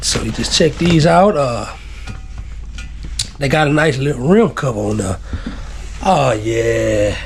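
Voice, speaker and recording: A man with a Texas accent at a very slow pace, with long, frequent pauses and noticeable background noise. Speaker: YouTuber. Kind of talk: product unboxing video. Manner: casual, laid-back.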